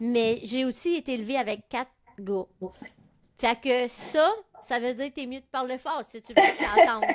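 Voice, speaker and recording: A woman speaks in a high voice, with ordinary pitch variation. She leaves long, frequent pauses, and her loudness swings widely. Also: moderate pace. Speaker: podcast co-host. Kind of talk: casual chat.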